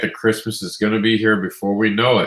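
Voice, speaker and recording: A man with a bright, sharp tone and fairly low pitch, very clean recording, silent background. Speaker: comics news show host. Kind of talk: news roundup. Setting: live stream.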